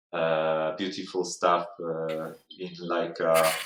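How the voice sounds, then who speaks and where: A man with a non-native accent and a very deep, low pitch. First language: not English. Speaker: miniature sculptor. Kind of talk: casual live stream chat. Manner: halting, many fillers.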